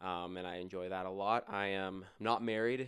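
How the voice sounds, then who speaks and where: Delivered at a fairly slow pace, an unremarkable speaking voice comes through on a very clean recording with a silent background. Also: man. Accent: Canadian. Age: 20s. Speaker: podcast co-host, designer. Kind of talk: casual chat.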